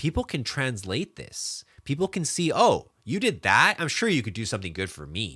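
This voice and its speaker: A man speaks with a fairly high, bright, sharp voice touched by vocal fry, his tone animated and his pitch swinging very widely. The pace is moderate, and the recording is very clean with a silent background. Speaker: digital marketing consultant. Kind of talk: live stream talk. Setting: live video stream.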